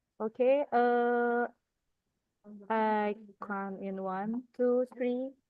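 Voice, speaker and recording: Speaking with an Indonesian accent, a woman uses a high pitch and fairly even intonation at a very slow pace with long, frequent pauses. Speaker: webinar moderator. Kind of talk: event moderation.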